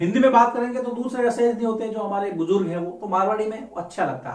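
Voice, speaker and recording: A speaker in a Rajasthani accent talks at a moderate pace with audible room echo and noticeable background noise. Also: man. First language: Marwari (speaking Hindi). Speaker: teacher. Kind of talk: lecture.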